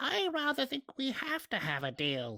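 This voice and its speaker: The speaker uses a put-on character voice. Its pitch is fairly high. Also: moderate pace. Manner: cold, menacing; speaking in chorus.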